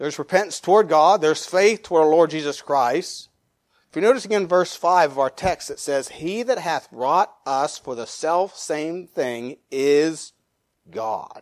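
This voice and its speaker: A man with a normal speaking voice talks at a fairly slow pace, his fairly high pitch rising and falling with lively intonation. The recording is very clean, with a silent background. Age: 50s. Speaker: pastor. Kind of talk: sermon.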